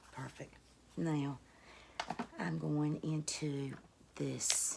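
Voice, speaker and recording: Noticeable background noise behind a woman's very slow delivery. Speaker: beauty YouTuber. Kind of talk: casual talk to camera.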